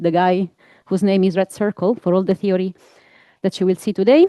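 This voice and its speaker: A woman with an Italian accent and a medium pitch. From Italy. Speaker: physics researcher. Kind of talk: scientific talk. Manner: hesitant, many fillers.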